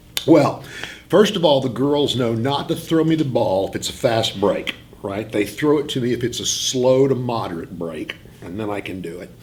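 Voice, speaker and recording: Over noticeable background noise, a man with a medium pitch speaks at a moderate pace, his intonation lively and his loudness swinging widely. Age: 60s. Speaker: high school English teacher. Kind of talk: interview. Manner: halting.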